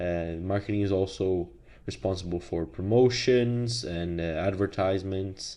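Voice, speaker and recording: A man with a non-native accent speaks at a very deep, low pitch. His tone is dark and mellow, with ordinary pitch variation. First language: not English. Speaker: business teacher. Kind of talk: lecture. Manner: hesitant with many fillers.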